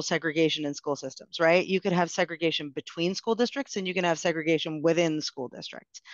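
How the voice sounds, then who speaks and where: The speaker talks fairly quickly with an American accent. The sound is dry with no echo, and the background is quiet. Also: woman. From New Jersey, suburb outside Newark; New Jersey. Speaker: education policy researcher; panelist. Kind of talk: panel discussion. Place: home room. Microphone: video call.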